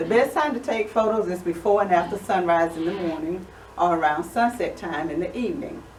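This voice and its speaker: Medium-pitched woman's voice with ordinary pitch variation, audible room echo and noticeable background noise. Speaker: photography guild member presenting. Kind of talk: presentation to a small audience. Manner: fast.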